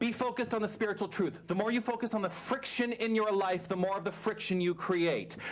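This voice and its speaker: An animated tone runs at a fairly quick pace with hardly any pauses and very even loudness, over noticeable background noise. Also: man, high pitch for a man. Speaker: minister. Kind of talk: sermon.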